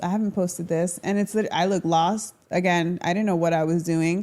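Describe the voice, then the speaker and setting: A woman with a Florida accent speaks at a moderate pace and a medium pitch. The recording is very clean, with a silent background. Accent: American, Florida. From Orlando, Florida. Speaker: social media dancer. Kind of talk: casual chat. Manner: animated.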